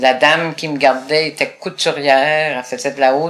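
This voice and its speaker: Her pitch varies in an ordinary way. The woman talks at a moderate pace. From Quebec, Gaspésie. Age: 70s. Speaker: retired advocate for blind people. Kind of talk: interview.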